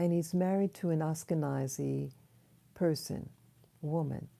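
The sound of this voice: Soft-spoken and low-pitched, a woman talks at a fairly slow pace with vocal fry, a dark, mellow tone and ordinary pitch variation.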